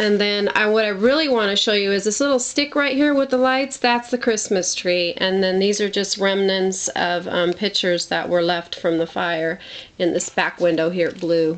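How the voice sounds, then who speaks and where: A woman talks with lively intonation against noticeable background noise. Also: medium pitch for a woman, moderate pace. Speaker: home video vlogger. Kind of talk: casual video tour. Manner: hesitant, with fillers.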